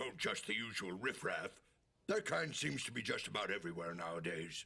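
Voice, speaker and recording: In a cartoonish character voice, a man speaks raspy and very deep, keeping his loudness very even at a fairly quick pace. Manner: meek, polite.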